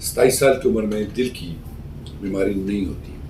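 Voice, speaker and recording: A man speaks at a moderate pace, with audible echo from the room. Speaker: cardiac surgeon. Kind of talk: Q&A medical advice talk. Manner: calm explanatory.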